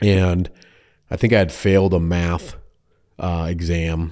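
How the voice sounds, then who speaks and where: A man speaks with a Minnesotan accent in a dark, mellow tone and flat monotone. The recording is very clean, with a silent background. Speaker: insurance agent. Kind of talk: casual interview chat. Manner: laughs often, easygoing.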